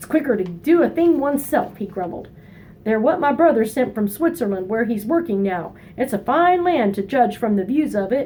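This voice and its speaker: A woman uses a put-on character voice that is gruff and high-pitched, with very wide pitch swings at a moderate pace. Clear background noise runs underneath. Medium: read story. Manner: gruff, grumbling.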